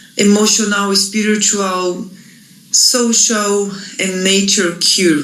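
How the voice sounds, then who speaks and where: With a Portuguese accent, a woman speaks very slowly at medium pitch with fairly even intonation, amid noticeable background noise and audible room echo. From Brazil. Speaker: Ayurvedic practitioner. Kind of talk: reading aloud. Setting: pre-recorded video.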